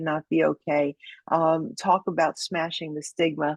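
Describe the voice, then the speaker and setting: A woman speaks with a Brooklyn accent. The sound is dry and close, with no echo. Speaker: judo instructor and federal agent. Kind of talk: podcast interview closing remarks.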